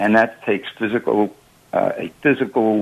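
This man has a plain, everyday voice, pitched fairly low. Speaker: caller. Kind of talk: call-in radio discussion.

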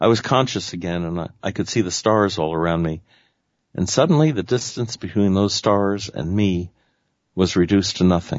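A man with an ordinary speaking voice talks at a moderate pace in a fairly low pitch, with ordinary pitch variation. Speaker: radio host. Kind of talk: radio show hosting with read-out account. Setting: radio show.

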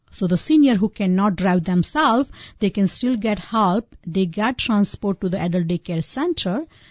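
Somewhat breathy, a woman speaks at a medium pitch and moderate pace with lively intonation. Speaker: physician and home care company CEO. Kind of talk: radio interview. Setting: radio studio.

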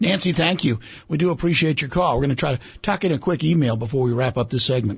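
The speaker is somewhat breathy and very fast, with lively intonation and very even loudness. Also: man, fairly high pitch for a man. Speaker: radio co-host. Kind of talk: radio hosting and announcements.

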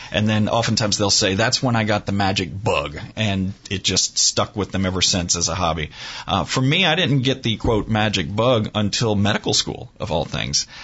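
A man with a fairly low pitch and ordinary pitch variation talks at a moderate pace while noticeable background noise carries on. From New Orleans, Louisiana. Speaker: forensic pathologist and magician. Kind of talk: radio interview.

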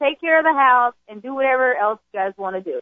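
A high-pitched woman with an American accent and lively intonation. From US South (Jackson, Mississippi). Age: young. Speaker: addiction center corporate trainer. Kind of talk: testimony. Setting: radio studio.

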